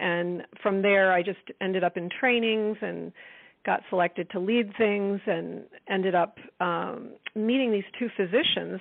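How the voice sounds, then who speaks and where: Here a woman speaks in an American accent at medium pitch. She has an unremarkable speaking voice and a fairly slow pace. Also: fairly even intonation. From US East Coast. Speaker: life coach and author. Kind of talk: interview.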